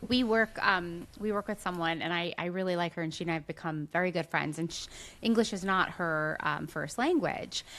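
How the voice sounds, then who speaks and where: In a very clean recording with a silent background, a woman with a New Jersey accent speaks fairly quickly in a fairly low voice, with ordinary pitch variation. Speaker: podcast co-host and teacher. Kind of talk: casual podcast chat.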